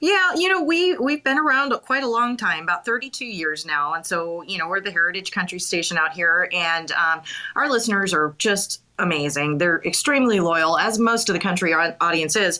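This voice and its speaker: Through noticeable background noise, a woman talks at a moderate pace with lively intonation. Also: medium pitch for a woman, hardly any pauses. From Montana. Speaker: radio co-host and interviewer. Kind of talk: interview. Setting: live audio chat room.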